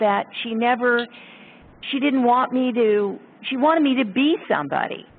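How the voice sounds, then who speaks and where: An ordinary speaking voice from a woman, fairly high in pitch, with ordinary pitch variation. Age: 60s. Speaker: sculptor. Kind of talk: casual chat.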